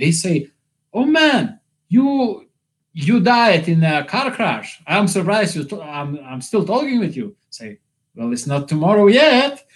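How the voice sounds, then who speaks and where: Speaking at a fairly slow pace with a non-native accent, a man with a high pitch makes very wide pitch swings and big swings in loudness. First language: not English. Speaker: YouTuber. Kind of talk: livestream monologue. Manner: halting.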